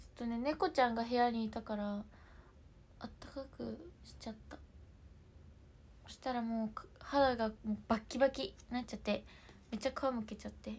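At a moderate pace, a woman speaks with fairly even intonation and long, frequent pauses. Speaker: livestreamer. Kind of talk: casual livestream chat. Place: home room. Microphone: phone near.

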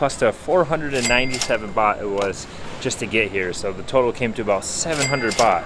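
Through noticeable background noise, a man talks at a very slow pace with ordinary pitch variation. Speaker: travel vlogger. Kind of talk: casual vlog chat. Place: station. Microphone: phone near.

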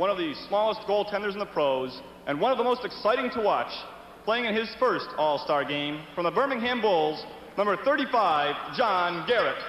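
A man speaks at a moderate pace with a high pitch. His intonation is lively, with noticeable background noise behind him. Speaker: arena public address announcer. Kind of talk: formal player introductions over PA. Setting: PA system in hockey arena. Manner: formal, ceremonial.

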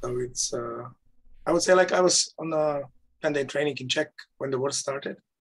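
This man keeps his intonation fairly even, and the background is quiet. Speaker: nonviolent communication trainer. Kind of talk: casual conversation. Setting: video call. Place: home room. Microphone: video call.

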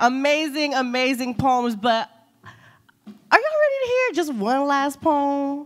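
The pitch is high. It belongs to a woman. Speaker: event co-host. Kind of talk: live event hosting. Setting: stage with audience. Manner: animated. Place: hall.

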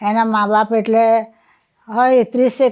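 A woman's voice has a fairly high pitch and a dark, mellow tone. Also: quiet background. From Ahmedabad, Gujarat, India. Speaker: retired scholar with a PhD in Gujarati literature. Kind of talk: interview, personal life story. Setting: at home.

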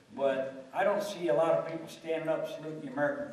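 Over audible room echo, a man speaks fairly quickly in a fairly high voice with ordinary pitch variation. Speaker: Marine Vietnam veteran. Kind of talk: panel discussion. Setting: stage with audience. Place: hall.

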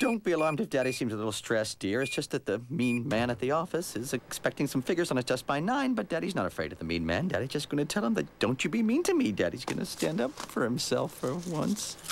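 The speech comes at a very fast pace with hardly any pauses, over light background noise. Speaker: voice actor for a cartoon father. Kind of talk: animated character dialogue. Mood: stressed, frantic, overly cheerful. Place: studio.

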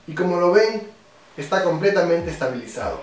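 A man speaks at a fairly quick pace with a high pitch and ordinary pitch variation. Audible room echo and light background noise are present. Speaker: product reviewer. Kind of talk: tutorial. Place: home room.

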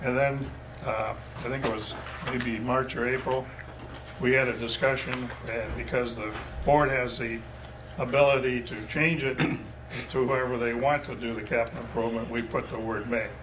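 Noticeable background noise surrounds the speaker. A man talks at a moderate pace with monotone, flat intonation. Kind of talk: meeting chairing and explanation. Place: meeting room.

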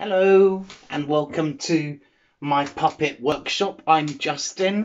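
A man at a very slow pace with ordinary pitch variation. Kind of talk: casual vlog chat. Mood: cheerful, pleased. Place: workshop. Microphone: phone near.

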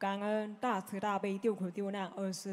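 A woman talks at a fairly slow pace. Her pitch is medium. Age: 20s. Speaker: follower asking questions; audience member. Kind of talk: Q&A with spiritual teacher; formal question to a religious teacher. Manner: halting. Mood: respectful, earnest. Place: hall. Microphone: handheld.

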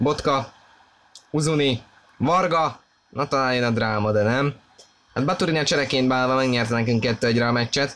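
A man's medium-pitched voice at a fairly slow pace, with ordinary pitch variation. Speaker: football commentator. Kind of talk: live commentary. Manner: animated.

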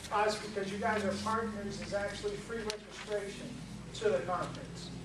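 Over noticeable background noise, a man talks in a high pitch with monotone, flat intonation. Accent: American. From Boston. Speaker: nonprofit administrator. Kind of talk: casual introduction. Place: classroom. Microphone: camera far.

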